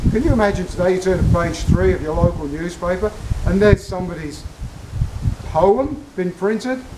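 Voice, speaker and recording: With an Australian accent and lively intonation, a man speaks at a high pitch over noticeable background noise. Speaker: military history presenter. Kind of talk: casual talk to camera.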